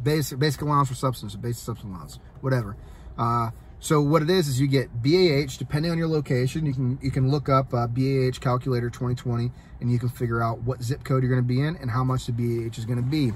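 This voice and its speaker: A man talks at a very fast pace with an American accent. His voice is somewhat breathy and his intonation fairly even. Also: medium pitch for a man. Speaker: soldier and vlogger. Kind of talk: casual vlog talk. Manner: halting, many fillers.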